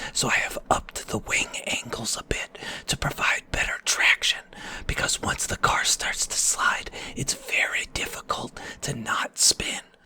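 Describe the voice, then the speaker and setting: A man whispers at a fairly slow pace, with noticeable background noise around him. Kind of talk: gaming commentary, racing video. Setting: home recording, voiceover over gameplay. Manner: whispered, soft-spoken.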